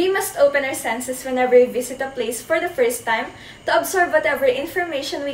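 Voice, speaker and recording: This woman talks at a fairly quick pace with a high pitch. Light background noise and audible room echo surround her voice. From Philippines. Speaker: student presenter; presenter. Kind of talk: class report.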